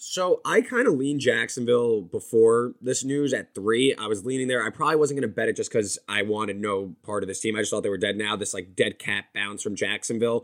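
At a fairly quick pace with hardly any pauses, a man uses a normal speaking voice of medium pitch and ordinary pitch variation. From New Jersey. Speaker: sports betting editor. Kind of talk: casual chat.

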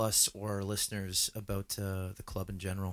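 Here is a man with a normal speaking voice and a fairly low pitch. He talks at a moderate pace on a very clean recording with a silent background. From Canada. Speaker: soccer podcast co-host. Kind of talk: casual chat.

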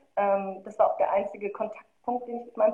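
Very fast speech comes from a woman. Her pitch is fairly high. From Germany, Marl (North Rhine-Westphalia). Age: 20s. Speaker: filmmaker and curator. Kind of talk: casual interview.

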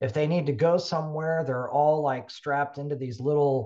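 Against a quiet background, a man with an American accent has an ordinary speaking voice, fairly high in pitch with ordinary pitch variation. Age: 60s. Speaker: health and fitness technology company founder. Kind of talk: casual interview.

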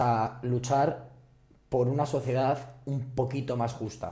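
Somewhat breathy and dark, mellow in tone, a man's medium-pitched voice carries audible room echo. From Madrid. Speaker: activist and social worker. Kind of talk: casual chat.

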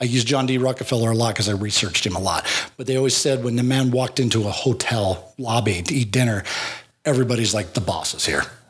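Noticeable background noise is present. Over it, a man speaks at a very fast pace. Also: medium pitch for a man, ordinary pitch variation, very even loudness. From Wyoming. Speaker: author and business owner. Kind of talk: casual chat.

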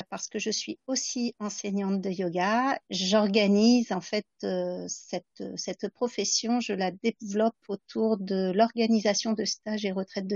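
Here a woman speaks at a fairly slow pace. Her pitch is medium and her intonation fairly even. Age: 50s. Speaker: astrologer. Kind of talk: interview.

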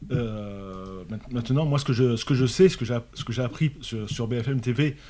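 The man's voice has a dark, mellow tone and ordinary pitch variation. He speaks at a very slow pace. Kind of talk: casual panel discussion. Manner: halting, many repeated words.

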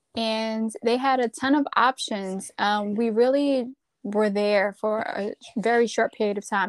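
An unremarkable speaking voice with fairly even intonation moves at a fairly slow pace, recorded very cleanly against a silent background with a dry, close sound and no echo. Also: woman. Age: 30s. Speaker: podcast co-host. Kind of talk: casual chat.

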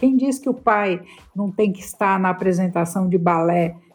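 An unremarkable speaking voice from a woman, medium in pitch, with ordinary pitch variation at a fairly slow pace. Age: 50s. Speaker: career columnist and business executive. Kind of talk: casual chat.

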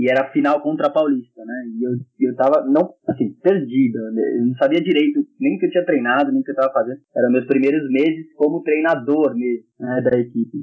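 At a fairly quick pace with hardly any pauses, the speaker uses a normal speaking voice and fairly even intonation. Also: man, fairly high pitch for a man. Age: 20s. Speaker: handball coach and fitness trainer. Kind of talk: casual podcast interview.

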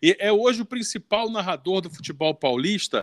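A man's voice with very wide pitch swings at a fairly slow pace, dry and close with no echo, on a very clean recording with a silent background. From Rio de Janeiro, Brazil (Leme). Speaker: podcast host. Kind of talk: casual chat.

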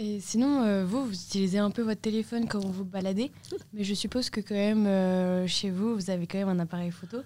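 Speaking fairly quickly, a woman uses a medium pitch and a dark, mellow tone with fairly even intonation. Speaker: student photo club member. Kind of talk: interview.

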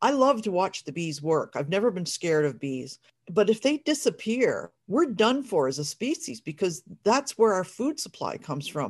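A woman's medium-pitched voice at a moderate pace, with very wide pitch swings. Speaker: podcast co-host and fibre artist. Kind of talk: casual chat.

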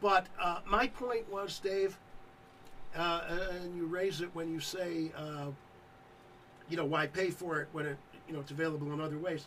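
Long, frequent pauses break up speech delivered at a moderate pace with ordinary pitch variation. Background noise is noticeable. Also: man, high pitch for a man. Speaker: radio co-host. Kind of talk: casual banter. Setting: studio.

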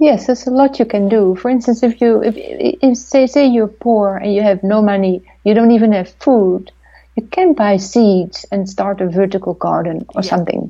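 A woman with a Dutch accent speaks at a moderate pace in a fairly high pitch. Her tone is dark and mellow, with ordinary pitch variation. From Netherlands. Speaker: documentary filmmaker. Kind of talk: interview. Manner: halting.

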